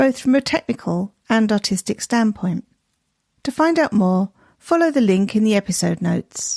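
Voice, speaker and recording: A woman speaks with lively intonation at a fairly high pitch, somewhat breathy. The sound is dry and close, with no echo. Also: moderate pace, very even loudness. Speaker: podcast host. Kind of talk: podcast intro narration.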